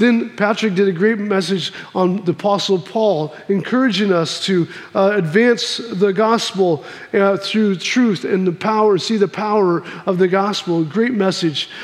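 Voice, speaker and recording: A man with an American accent speaks at a fairly slow pace in a high pitch, his loudness very even. His intonation is fairly even, and there is noticeable background noise. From Missouri, US Midwest. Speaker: pastor. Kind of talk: sermon. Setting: church.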